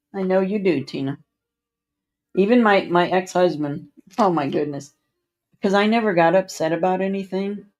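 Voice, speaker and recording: A woman's fairly low voice with ordinary pitch variation at a moderate pace, music in the background. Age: 60s. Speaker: livestreamer. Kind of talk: casual chat.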